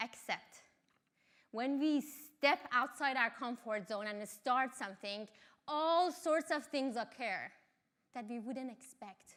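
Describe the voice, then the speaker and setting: A woman with an Iranian accent, high-pitched and very slow, with ordinary pitch variation and big swings in loudness. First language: Farsi. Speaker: mountaineer and engineering lecturer. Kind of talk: talk.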